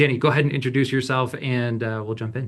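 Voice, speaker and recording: In a quiet background, a man speaks fairly quickly with a somewhat breathy voice. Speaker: marketing webinar host. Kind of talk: live webinar presentation. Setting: video call webinar. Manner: fast.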